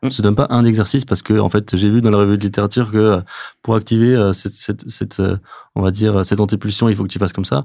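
The voice has a dark, mellow tone and fairly even intonation at a very fast pace. The recording is very clean, with a silent background. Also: man, fairly low pitch for a man. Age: 30s. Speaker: physiotherapist. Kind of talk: casual interview. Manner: halting, many fillers.

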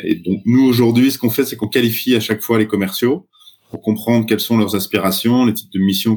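An unremarkable speaking voice from a man, medium in pitch with ordinary pitch variation, at a fairly quick pace. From France, Troyes. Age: 40s. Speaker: startup founder. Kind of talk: podcast interview.

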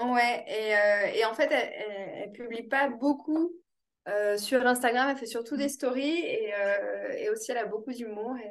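This woman has a high pitch and ordinary pitch variation. She talks at a very slow pace. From France, Toulouse. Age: 30s. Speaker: real estate investor. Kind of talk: interview. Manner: hesitant, many fillers.

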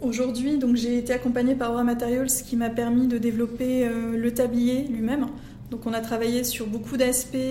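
Over noticeable background noise and audible room echo, a woman speaks at a high pitch and moderate pace in a monotone, flat intonation. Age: 30s. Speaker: entrepreneur. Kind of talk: interview. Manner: halting.

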